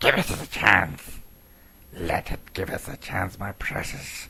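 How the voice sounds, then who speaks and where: This is a put-on character voice delivered in a whisper. Hissing runs through it. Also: fairly slow pace. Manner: hissing, whispering to himself.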